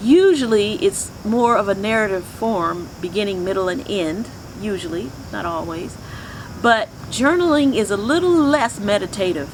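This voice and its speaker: Over noticeable background noise, a woman with a medium pitch talks at a moderate pace, her pitch swinging very widely. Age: 60s. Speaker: spiritual teacher. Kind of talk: teaching talk.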